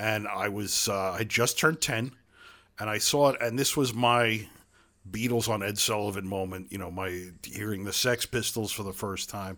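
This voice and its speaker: With a Brooklyn accent, a man talks in a fairly low, bright and sharp voice, captured in a very clean recording over a silent background. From Brooklyn, New York. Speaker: podcast host. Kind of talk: casual chat.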